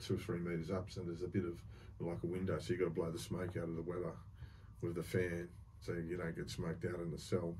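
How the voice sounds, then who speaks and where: Fairly quick and somewhat breathy, a man with an Australian accent and a dark, mellow tone speaks over light background noise. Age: 50s. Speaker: former prisoner, reformed bank robber. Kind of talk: storytelling interview, casual talk. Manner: casual, colloquial, swears. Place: studio.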